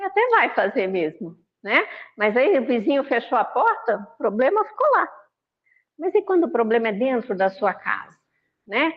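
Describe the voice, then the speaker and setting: A high-pitched woman at a moderate pace, with very wide pitch swings and long, frequent pauses. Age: 60s. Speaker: spiritist lecturer. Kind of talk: religious talk. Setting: online video meeting. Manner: conversational.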